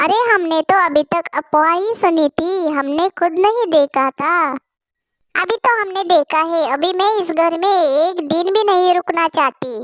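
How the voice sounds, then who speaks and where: In a cartoonish character voice at an extremely high pitch, a woman speaks at a moderate pace with ordinary pitch variation, in a dry, close sound with no echo. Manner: exclamatory, dramatic.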